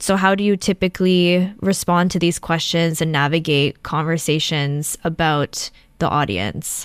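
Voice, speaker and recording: Fairly low in pitch with ordinary pitch variation, a woman uses a normal speaking voice at a fairly slow pace. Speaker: podcast host and film director. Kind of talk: panel interview. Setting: remote call.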